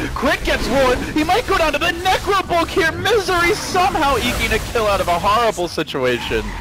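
A man speaks in a raised, projected voice at an extremely high pitch and a fairly quick pace, with very wide pitch swings. His loudness stays very even over noticeable background noise. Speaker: esports commentator. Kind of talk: live esports commentary. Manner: fast-paced, play-by-play delivery; animated, excited.

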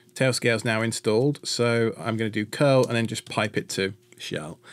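Ordinary pitch variation in a man's speech. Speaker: tech tutorial host. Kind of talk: tutorial.

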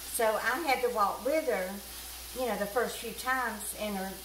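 In a Southern US accent and a warm tone, a woman speaks at a moderate pace with ordinary pitch variation, audible room echo and light background noise. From US South. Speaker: cooking vlogger. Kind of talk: homespun storytelling aside while cooking, recounting caring for an elderly woman. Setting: home kitchen. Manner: chatty and folksy, with frequent fillers; warm, meandering anecdotal pace with small repetitions. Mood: warm, chatty. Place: kitchen.

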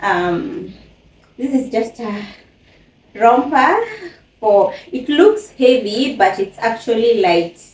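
Over noticeable background noise, a woman with a fairly high pitch and lively intonation talks at a very slow pace. She leaves long, frequent pauses. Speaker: YouTuber, mother. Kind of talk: unboxing haul video, casual. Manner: chatty, with frequent fillers.

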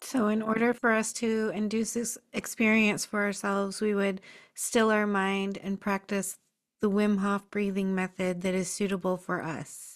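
Against a quiet background, a woman talks at a moderate pace in a monotone, flat intonation. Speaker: podcast host. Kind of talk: interview. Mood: calm, soft-spoken. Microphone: studio mic.

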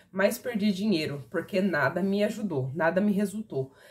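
The woman's somewhat breathy voice moves along at a moderate pace. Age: 30s. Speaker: product reviewer. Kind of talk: sales pitch. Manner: casual. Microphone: phone near.

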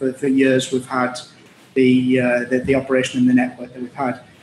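Over light background noise, a man talks with audible room echo. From Middlesbrough, northeast England; northeast England. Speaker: logistics executive; guest. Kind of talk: interview. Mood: relaxed, conversational. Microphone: video call.

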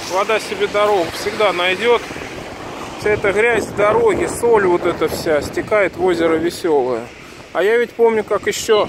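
Against noticeable background noise, a man talks at a moderate pace with ordinary pitch variation and long, frequent pauses. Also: dry sound with no echo. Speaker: local video blogger. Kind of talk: casual vlog commentary. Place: street. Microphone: phone near.

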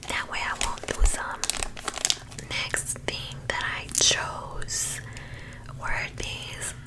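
A woman's whisper at a very slow pace, with long, frequent pauses. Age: 20s. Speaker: ASMR creator. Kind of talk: ASMR show-and-tell. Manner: soft-spoken. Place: home room. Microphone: studio mic.

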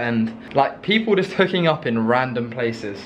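A man with an English accent speaks over light background noise. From England. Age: young. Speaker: university student. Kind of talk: casual vlog talk to camera.

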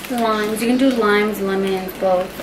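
A woman speaks over background noise that is easy to notice. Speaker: home cook vlogger. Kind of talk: casual cooking tutorial chat. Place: kitchen. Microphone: camera far.

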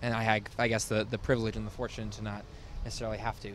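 A man talking at a very fast pace, dry sound with no echo, light background noise behind him. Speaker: interviewee. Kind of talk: interview answer. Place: street. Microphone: handheld.

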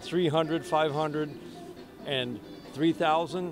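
A man speaks at a moderate pace, fairly high-pitched for a man. The sound is dry with no echo, with clear music in the background. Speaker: baseball radio announcer. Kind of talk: sports radio interview answer. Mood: warm, enthusiastic, smiling.

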